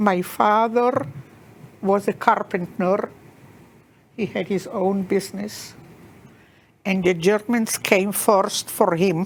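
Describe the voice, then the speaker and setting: With an American accent, a woman at medium pitch speaks at a very slow pace, using fairly even intonation and long, frequent pauses. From Czechoslovakia, then Israel. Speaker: Holocaust survivor. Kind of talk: testimony.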